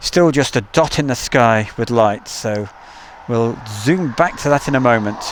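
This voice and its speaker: A man with an East Midlands accent at a fairly slow pace. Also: medium pitch for a man, ordinary pitch variation. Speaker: live stream host, plane spotter. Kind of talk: live stream commentary with chat. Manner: casual, chatty.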